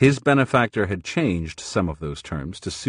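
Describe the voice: Text read aloud plainly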